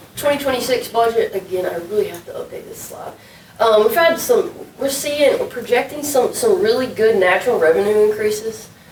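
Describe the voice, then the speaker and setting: Amid noticeable background noise and audible room echo, a woman talks at a moderate pace with lively intonation. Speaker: city administrator. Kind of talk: budget presentation at council work session. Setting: city council meeting room.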